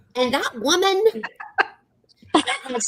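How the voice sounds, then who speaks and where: With a raised, projected voice, a woman speaks in a bright, sharp tone, her pitch swinging very widely. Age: 60s. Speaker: retiree YouTuber. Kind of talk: casual group chat.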